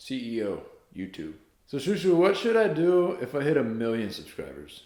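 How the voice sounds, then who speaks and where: In an American accent, a man with a fairly high pitch and a dark, mellow tone makes very wide pitch swings, with audible room echo. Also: moderate pace. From US South, North Carolina. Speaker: YouTuber and singer. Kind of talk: casual vlog, reading a letter aloud. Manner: animated.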